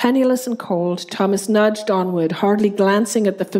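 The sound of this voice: Unforced reading, with an ordinary range of pitch movement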